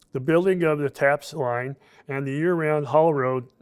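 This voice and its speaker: Heard on a very clean recording with a silent background, a man speaks with an Alaskan accent and fairly even intonation. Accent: Alaskan American. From Alaska, Fairbanks. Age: 70s. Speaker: retired construction worker, pipeline-era memoir. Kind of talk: reading aloud his written memoir.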